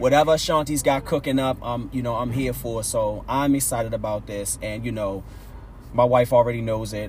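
Somewhat breathy, a man with an American accent talks at a fairly quick pace and medium pitch. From West Baltimore, Maryland. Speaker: podcast host. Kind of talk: casual chat.

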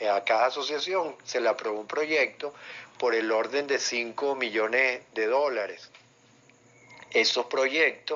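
A man at medium pitch, very slow pace, very even loudness and ordinary pitch variation. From Venezuela, Caracas. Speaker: sports journalist. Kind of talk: interview. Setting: virtual studio, remote call.

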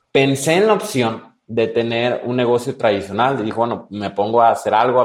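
A man talks with an ordinary speaking voice and ordinary pitch variation. His pace is moderate. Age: 20s. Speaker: entrepreneur and business mentor. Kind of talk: interview.

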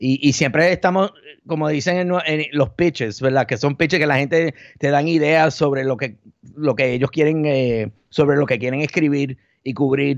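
Recorded dry and close with no echo against a quiet background, a man uses an ordinary speaking voice with fairly high pitch, ordinary pitch variation and a moderate pace. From Puerto Rico and the Bronx, New York. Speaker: journalist and media founder. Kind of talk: podcast interview.

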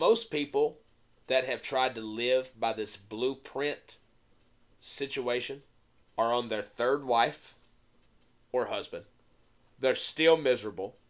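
Very slow speech from a man at medium pitch, with ordinary pitch variation, long, frequent pauses and a very clean recording with a silent background. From US South, Tennessee. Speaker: podcast co-host. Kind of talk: casual chat.

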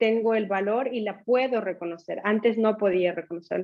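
Speaking at a moderate pace, a woman keeps her fairly high-pitched voice fairly even in intonation. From Ecuador. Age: 40s. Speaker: finance director and former coaching client. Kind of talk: casual interview testimony. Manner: halting.

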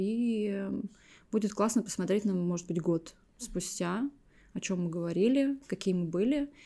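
With a dark, mellow tone, a woman talks at a moderate pace and medium pitch. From Estonia, small town. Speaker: podcast co-host, content producer. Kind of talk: casual chat.

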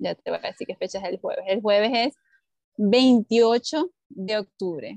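A woman speaks at a fairly high pitch, with a shrill sound. Her pitch varies in an ordinary way. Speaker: podcast co-host, teacher. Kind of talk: casual chat. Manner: gets louder and higher when excited.

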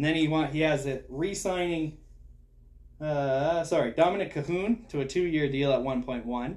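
Fairly high pitch from a man with an unremarkable speaking voice, a moderate pace and ordinary pitch variation. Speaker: hockey podcast host. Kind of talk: casual chat.

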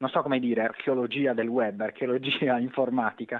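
A man speaks at a moderate pace. He has a slight Sardinian accent. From Sardinia, Cagliari. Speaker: author and magazine editor. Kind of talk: interview. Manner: halting, with repetitions.

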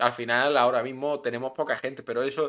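A man with a Melilla accent speaks at a moderate pace and medium pitch, his intonation fairly even, on a very clean recording with a silent background. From Melilla, Spain. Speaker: podcast co-host. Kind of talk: casual chat. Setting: live stream.

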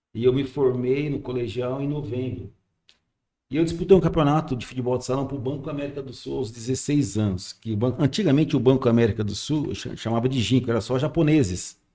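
A man with a dark, mellow tone and medium pitch speaks at a fairly quick pace with ordinary pitch variation. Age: 60s. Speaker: radio station manager. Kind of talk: casual chat.

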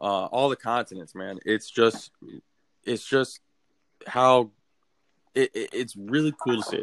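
A man with an American accent speaks at a fairly slow pace, leaving long, frequent pauses. His pitch is medium, with ordinary variation. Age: 20s. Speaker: sports podcast co-host. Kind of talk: casual chat. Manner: animated.

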